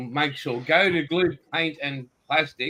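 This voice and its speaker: A man speaks at a fairly high pitch with an Australian accent and ordinary pitch variation. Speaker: podcast host. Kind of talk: casual chat.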